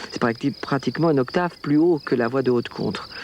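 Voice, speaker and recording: A man's voice over noticeable background noise. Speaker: sopranist singer. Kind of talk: interview. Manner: halting with many hesitations.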